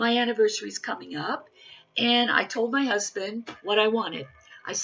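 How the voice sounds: The intonation is fairly even. The reading voice sounds natural.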